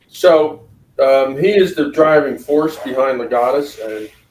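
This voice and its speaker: With ordinary pitch variation, a man in a normal speaking voice talks at a fairly slow pace. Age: 60s. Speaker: lawyer. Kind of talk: interview.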